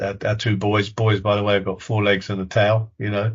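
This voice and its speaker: The man's voice is fairly low and somewhat breathy. His intonation is monotone and flat. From southern England. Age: 70s. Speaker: retired police officer. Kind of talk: interview. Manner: halting, many repetitions.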